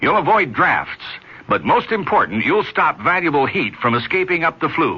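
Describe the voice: A man speaks at a fairly high pitch with a husky, rough edge. His pitch swings widely at a moderate pace.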